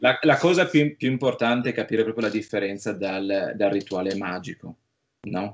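A plain, everyday voice talks at a moderate pace with lively intonation. Light background noise runs underneath. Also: man, fairly low pitch for a man. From Friuli, north-east Italy; Italy. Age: 30s. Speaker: film producer; interviewee. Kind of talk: interview. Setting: remote call. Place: home room. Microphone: video call.

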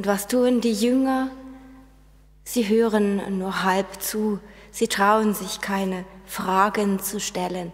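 The pace is very slow. A woman is the one talking. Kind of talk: sermon. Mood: calm, earnest. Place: church.

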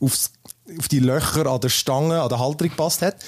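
A man has an unremarkable speaking voice. He talks at a fairly quick pace with ordinary pitch variation. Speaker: tech podcast host. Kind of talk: casual chat. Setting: standing at desk, home recording.

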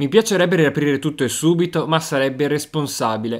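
A man with a normal speaking voice and a fairly high pitch talks at a fairly quick pace on a very clean recording with a silent background. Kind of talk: formal news reading. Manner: formal; steady, even-paced.

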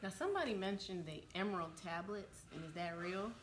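A woman speaks at a medium pitch with lively intonation and a fairly quick pace. Faint background noise is present.

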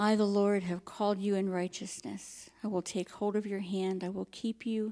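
Against a quiet background, a woman speaks at a moderate pace in a dark, mellow tone with monotone, flat intonation. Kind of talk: scripture reading. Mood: calm, reverent. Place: church.

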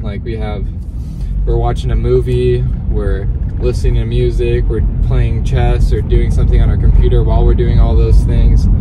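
Over music in the background, a man talks at a moderate pace, the sound dry with no echo. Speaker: vlogger. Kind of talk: casual vlog chat. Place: car. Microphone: phone near.

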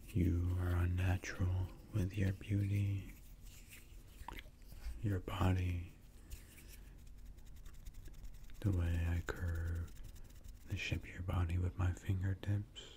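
A soft-spoken man speaks very slowly in a very deep, low, somewhat breathy voice with a dark, mellow tone. His intonation is monotone and flat, with long, frequent pauses over light background noise. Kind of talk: soft romantic ASMR monologue. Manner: soft, intimate ASMR murmur. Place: home room. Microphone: studio mic.

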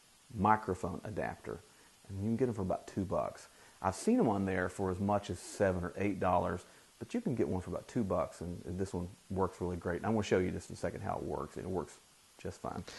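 Talking at a very fast pace, this man has a very deep, low voice that is somewhat breathy, with fairly even intonation. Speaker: tech reviewer. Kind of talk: tutorial. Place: home room. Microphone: lapel.

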